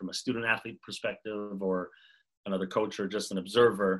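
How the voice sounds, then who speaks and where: Bright and sharp in tone, a man's fairly low voice with a Montreal accent moves at a moderate pace. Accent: Canadian English (Montreal). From Montreal, Canada. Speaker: basketball player development coach. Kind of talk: casual interview. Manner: hesitant, many fillers.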